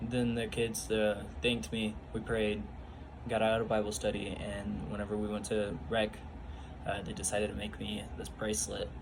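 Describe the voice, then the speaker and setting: A man speaks at a moderate pace, his voice carrying audible room echo. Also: fairly low pitch for a man, ordinary pitch variation. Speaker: youth bible study leader. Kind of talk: casual personal testimony vlog. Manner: halting, many fillers.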